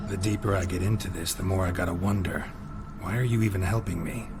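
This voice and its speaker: Using a put-on character voice with a very deep, low pitch, a man races along at a very fast pace over loud background noise. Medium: game stream. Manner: terse, clipped, dry.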